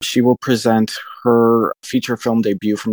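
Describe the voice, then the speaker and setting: In a plain, everyday voice, a man of medium pitch talks at a fairly slow pace in a dry, close sound with no echo. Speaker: arts director, festival programmer. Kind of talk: interview.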